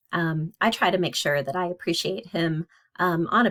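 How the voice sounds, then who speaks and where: This is a woman speaking. Her pitch is fairly low. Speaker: psychology instructor. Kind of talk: lecture. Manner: fast; casual, hesitant with fillers.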